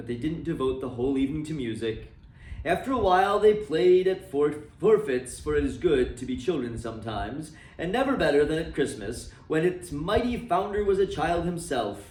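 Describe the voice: With audible room echo, a man speaks at a moderate pace in a slightly mellow tone, his fairly high pitch making big pitch swings.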